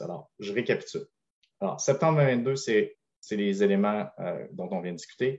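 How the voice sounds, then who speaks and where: Against a quiet background, a man talks at a medium pitch with lively intonation. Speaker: privacy consultant presenting on a webinar panel. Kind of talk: webinar presentation.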